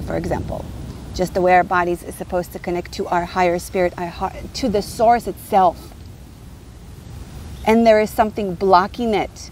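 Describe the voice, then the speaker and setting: The sound is dry with no echo as a woman speaks at a moderate pace over light background noise. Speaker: spiritual teacher. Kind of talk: casual vlog chat. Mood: passionate, preachy, angry. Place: beach. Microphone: phone near.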